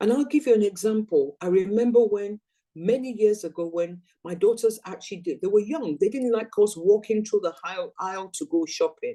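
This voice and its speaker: At a moderate pace, a woman speaks with lively intonation in a fairly high, dark and mellow voice. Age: 60s. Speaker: network marketing business trainer. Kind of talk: motivational training talk.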